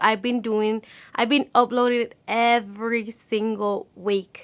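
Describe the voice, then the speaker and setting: With a non-native accent, a woman is talking. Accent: non-native English, self-described. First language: Spanish. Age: 20s. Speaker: beauty vlogger. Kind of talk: casual chat. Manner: halting.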